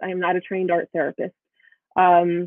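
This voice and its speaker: Her voice, a woman's, sits at a medium pitch. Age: 50s. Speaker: artist and conference presenter. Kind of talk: virtual conference presentation. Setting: virtual conference. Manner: halting, many fillers.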